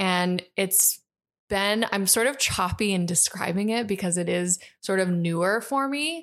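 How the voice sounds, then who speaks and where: In a very clean recording with a silent background, a woman with an unremarkable speaking voice talks fairly slowly at a medium pitch, with very even loudness and ordinary pitch variation. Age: 30s. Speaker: podcast co-host and run coach. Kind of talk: scripted intro; casual chat.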